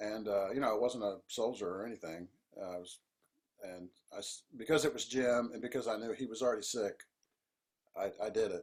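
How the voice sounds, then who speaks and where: Speaking at a fairly quick pace yet with long, frequent pauses, a man with an American accent uses a medium pitch and ordinary pitch variation. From US South. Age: 60s. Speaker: composer and band leader. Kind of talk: interview.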